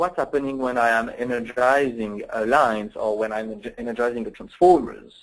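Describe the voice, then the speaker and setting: A man with a French accent at medium pitch, fairly quick and with hardly any pauses, ordinary pitch variation throughout. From France. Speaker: software application engineer. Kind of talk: technical webinar presentation. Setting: online webinar. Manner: hesitant, many fillers.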